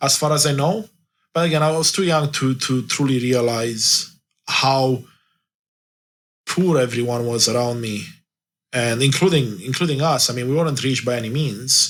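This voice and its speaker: A man with a Romanian accent, long, frequent pauses and a very clean recording with a silent background. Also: medium pitch for a man, ordinary pitch variation, moderate pace. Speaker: life coach. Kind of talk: interview. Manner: halting.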